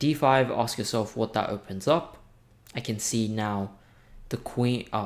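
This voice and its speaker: On a very clean recording with a silent background, a man with a normal speaking voice talks at a medium pitch and a fairly slow pace, with ordinary pitch variation. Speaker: chess teacher. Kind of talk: tutorial.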